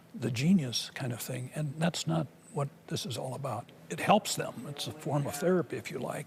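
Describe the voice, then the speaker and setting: With noticeable background noise behind him, a man of fairly high pitch speaks at a moderate pace with lively intonation. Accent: American. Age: 70s. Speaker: savant syndrome expert. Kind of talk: public presentation.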